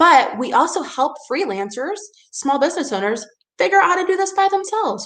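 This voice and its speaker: Animated and fairly quick, a woman's extremely high voice takes very wide pitch swings. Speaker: PR agency owner giving a webinar session. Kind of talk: webinar presentation with live Q&A. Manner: fast.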